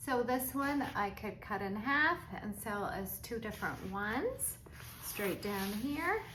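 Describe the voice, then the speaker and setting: Speaking at a very slow pace with lively intonation, a woman with a fairly high pitch is heard amid audible room echo and noticeable background noise. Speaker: crafter selling supplies online. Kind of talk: product show-and-tell video. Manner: slow, deliberate pacing; casual, chatty.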